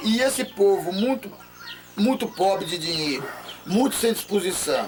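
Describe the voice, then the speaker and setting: Amid noticeable background noise, a man speaks at a high pitch with ordinary pitch variation. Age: 60s. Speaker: local elder, pioneer settler. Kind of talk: oral history interview. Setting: at home.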